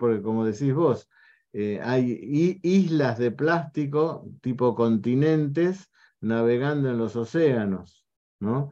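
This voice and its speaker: At a very slow pace over a quiet background, a man with a dark, mellow tone speaks at medium pitch with ordinary pitch variation. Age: old. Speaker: homeopathic doctor and show host. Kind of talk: online talk show interview.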